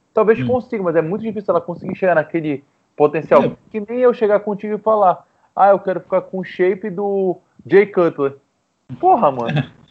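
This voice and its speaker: Music plays in the background. The speaker goes at a moderate pace with ordinary pitch variation. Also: man, high pitch for a man. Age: 20s. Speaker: nutritionist. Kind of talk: casual chat.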